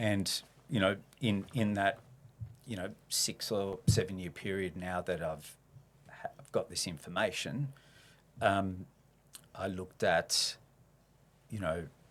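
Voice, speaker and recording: A man's fairly low voice with an Australian accent, fairly slow, with ordinary pitch variation, big swings in loudness and long, frequent pauses. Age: 60s. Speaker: reformed abuser sharing his story. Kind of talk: podcast interview, personal testimony. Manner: hesitant, many fillers.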